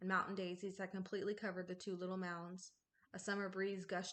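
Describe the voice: The words are simply read aloud in a plain way. Little can be heard behind them.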